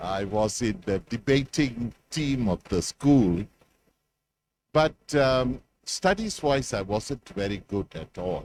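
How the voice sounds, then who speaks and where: Speaking at a very slow pace, a man uses lively intonation at a medium pitch, with a dry, close sound and no echo. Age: 60s. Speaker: professor. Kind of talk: closing speech. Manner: hesitant, many filler words.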